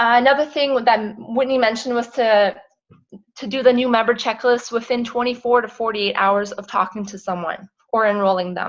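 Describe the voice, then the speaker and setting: Her loudness swinging widely, a woman talks at a fairly quick pace and fairly high pitch with fairly even intonation. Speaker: network marketing team leader. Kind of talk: team call recap. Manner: fast.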